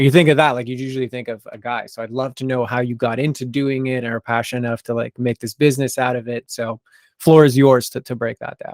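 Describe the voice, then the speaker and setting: A man with an American accent talks very fast at a medium pitch, his intonation monotone and flat. The recording is very clean, with a silent background and a dry, close sound without echo. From US, Idaho. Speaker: podcast host. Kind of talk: casual interview.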